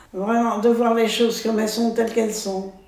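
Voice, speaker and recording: Amid noticeable background noise, a woman speaks with monotone, flat intonation. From France. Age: 80s+. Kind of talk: interview answer. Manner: hesitant, halting.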